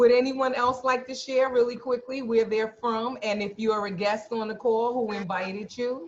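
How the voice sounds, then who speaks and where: Against noticeable background noise, a woman with a New York accent speaks at a moderate pace and a fairly high pitch, with fairly even intonation and hardly any pauses. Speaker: video call host. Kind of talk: group video call. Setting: video call.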